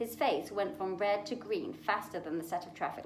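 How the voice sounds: Lively intonation colors what is a natural reading voice.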